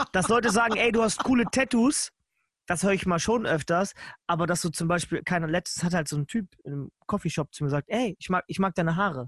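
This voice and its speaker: A man talks at a fairly quick pace with a high pitch and ordinary variation, the sound dry and close with no echo against a quiet background. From northern Germany, Lower Saxony (Nienburg). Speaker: podcast host. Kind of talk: casual chat.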